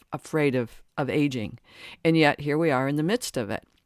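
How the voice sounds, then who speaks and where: In a very clean recording with a silent background and a dry, close sound with no echo, a woman talks at a moderate pace with a very deep, low pitch. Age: 60s. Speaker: podcast host and life coach. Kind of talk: solo podcast monologue. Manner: halting, with frequent repetitions; conversational.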